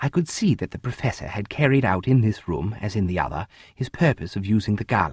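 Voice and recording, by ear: Someone reads aloud in a natural voice, the intonation lively throughout.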